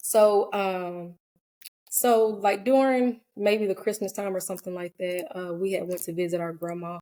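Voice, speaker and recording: A woman with an American accent speaks at a moderate pace in a dark, mellow tone, her medium pitch varying in an ordinary way. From US South, Georgia (Cobb County). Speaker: licensed professional counselor. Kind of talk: personal testimony in podcast interview. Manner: hesitant, many fillers; soft-spoken.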